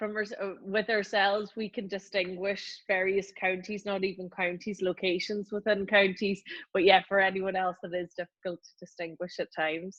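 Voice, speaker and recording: A woman with a Northern Irish accent speaks at medium pitch and a moderate pace, monotone and flat with hardly any pauses, in a dry, close sound with no echo. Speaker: lawyer, law firm partner. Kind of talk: casual interview.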